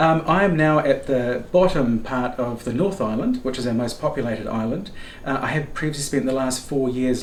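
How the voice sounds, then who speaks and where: Someone speaks with a New Zealand accent and ordinary pitch variation. The room echo is audible, and there is noticeable background noise. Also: man. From New Zealand, Rotorua. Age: 50s. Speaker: guest traveller and knitter. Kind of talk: casual chat. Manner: fast.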